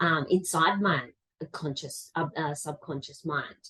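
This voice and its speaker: With an Australian accent, a woman speaks in a fairly low, somewhat breathy voice. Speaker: life coach. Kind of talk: interview answer.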